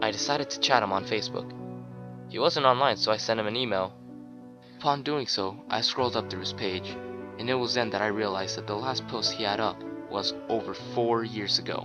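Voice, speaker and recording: Over music in the background, a man talks at a fairly quick pace with fairly even intonation and long, frequent pauses. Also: fairly low pitch for a man. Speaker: creepypasta narrator. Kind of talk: horror story narration.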